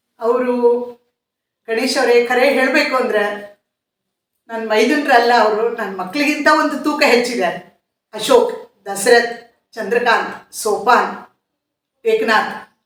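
Audible room echo surrounds a woman's high-pitched voice, which has ordinary pitch variation. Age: old. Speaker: social worker. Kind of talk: interview answers.

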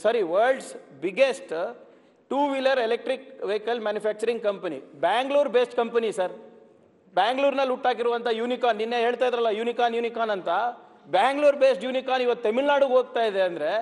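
His pitch is extremely high. The man's voice shows ordinary pitch variation. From Karnataka. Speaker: politician, former IT minister; legislator in assembly debate. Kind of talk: parliamentary debate. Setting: legislative assembly. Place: hall. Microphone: podium.

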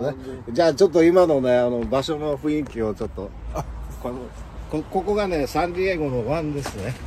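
A man at a fairly quick pace with lively intonation, in a dry sound with no echo and light background noise. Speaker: travel vlogger interviewer. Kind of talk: casual talk to camera. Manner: upbeat. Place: boat. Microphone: phone near.

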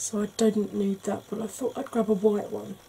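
Here a woman speaks with an English accent. Her voice has a fairly high pitch. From England. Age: 40s. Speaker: beauty YouTuber. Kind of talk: tutorial. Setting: home.

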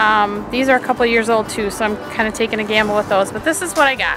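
A woman at a fairly quick pace with ordinary pitch variation, a dry sound with no echo, and clear music in the background. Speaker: home gardener vlogger. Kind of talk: casual vlog chat. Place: garden. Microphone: phone near.

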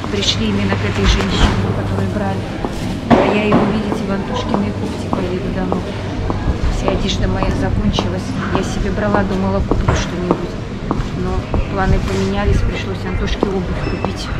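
Against loud background noise, a woman speaks at a moderate pace, leaving long, frequent pauses. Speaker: family travel vlogger. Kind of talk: casual vlog chat. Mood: cheerful, chatty. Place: market. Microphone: phone near.

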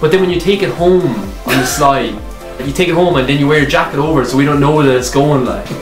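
A man speaks at a very fast pace with an Irish accent, a fairly high pitch, and ordinary pitch variation. Clear music plays in the background, and audible room echo is present. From Ireland. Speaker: YouTuber. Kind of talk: casual comedy sketch to camera. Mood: joking, playful complaining. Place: home room. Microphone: camera far.

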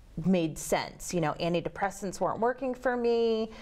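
A woman speaks with ordinary pitch variation. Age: 30s. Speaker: guest sharing mental illness experience. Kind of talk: personal testimony. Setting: TV studio. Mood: earnest, personal, slightly hesitant. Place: studio.

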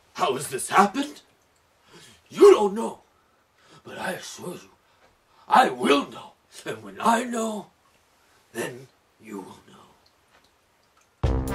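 At a fairly slow pace, a high-pitched man speaks. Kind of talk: comic overacting. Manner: obsessive, commanding.

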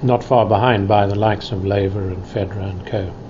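The recording carries noticeable background noise. A man speaks at a fairly low pitch. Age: 60s. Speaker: former tennis player and commentator. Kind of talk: interview answer.

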